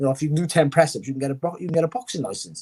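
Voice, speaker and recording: A Welsh accent in a dry, close sound with no echo. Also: man. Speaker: former boxer and boxing pundit. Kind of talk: interview. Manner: fast; animated.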